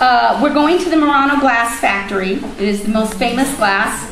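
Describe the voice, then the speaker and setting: Speaking with lively intonation at a fairly high pitch, a woman is heard through audible room echo and noticeable background noise. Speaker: teacher leading a student trip meeting. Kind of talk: informational meeting presentation.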